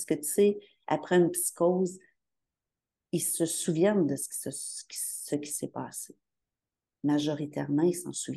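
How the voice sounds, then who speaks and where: A woman with a Quebec accent speaks at a very slow pace, leaving long, frequent pauses. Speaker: bereaved mother of adults with mental illness. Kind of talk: testimony.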